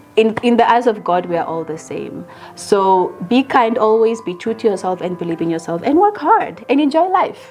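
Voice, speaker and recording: Very wide pitch swings, hardly any pauses, and noticeable background noise. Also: woman, fairly high pitch for a woman, moderate pace. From Namibia. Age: 30s. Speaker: actress and producer. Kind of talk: interview. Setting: at her home. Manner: calm, quiet.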